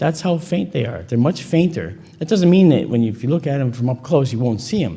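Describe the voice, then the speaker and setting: A man speaks at a medium pitch with a dark, mellow tone, lively intonation and vocal fry, and there is audible room echo. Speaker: conference speaker on astronomy and UFO photo analysis. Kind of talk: lecture. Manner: conversational, animated.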